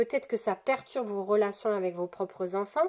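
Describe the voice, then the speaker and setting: Her pace is moderate and her pitch is medium. This woman's pitch variation is ordinary. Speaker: tarot card reader. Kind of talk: weekly spiritual card guidance. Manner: halting, many fillers and repetitions.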